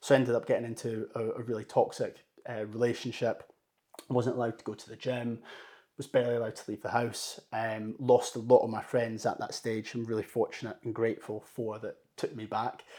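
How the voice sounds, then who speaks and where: A man with a Scottish accent talks at a fairly quick pace and a medium pitch, with monotone, flat intonation, a dark, mellow tone and big swings in loudness. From Scotland, Dunblane. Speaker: mental health personal trainer and coaching company founder. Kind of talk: casual interview.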